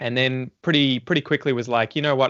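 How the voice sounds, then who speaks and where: A man with an Australian accent, medium pitch, and ordinary pitch variation. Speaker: English teacher and podcaster. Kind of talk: casual chat. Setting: podcast recording, live-streamed.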